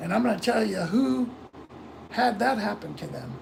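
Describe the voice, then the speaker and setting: Noticeable background noise sits behind the speaker. The voice carries an American accent. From Florida, US. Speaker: livestreamer. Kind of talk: casual chat. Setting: live stream.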